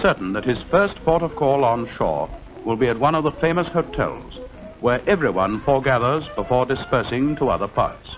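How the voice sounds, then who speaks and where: Over music in the background, a man speaks at a fairly quick pace, his fairly high pitch making very wide swings. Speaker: narrator. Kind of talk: documentary travelogue narration.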